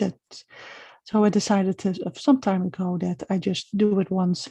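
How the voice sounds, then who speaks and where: Recorded dry and close with no echo, a woman with a non-native accent speaks at a moderate pace in a medium pitch, her dark, mellow tone somewhat breathy and her intonation fairly even. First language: not English. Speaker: small business coach. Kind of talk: live video monologue. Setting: live stream at home. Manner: halting.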